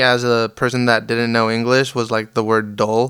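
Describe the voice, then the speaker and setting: A man speaks with a Spanish accent at a moderate pace. His tone is bright and sharp. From Las Vegas, US. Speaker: musician. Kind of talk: interview. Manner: casual, hesitant with many fillers.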